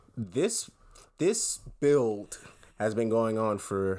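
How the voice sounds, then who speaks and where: A playful tone comes through at a very slow pace in a very clean recording with a silent background. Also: man. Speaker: podcast co-host. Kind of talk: casual chat. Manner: joking, playful.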